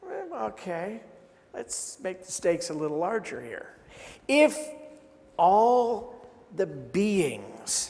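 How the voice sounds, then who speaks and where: A man with a high pitch speaks at a very slow pace, with very wide pitch swings, big swings in loudness, and long, frequent pauses, amid audible room echo and noticeable background noise. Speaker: minister. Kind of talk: sermon.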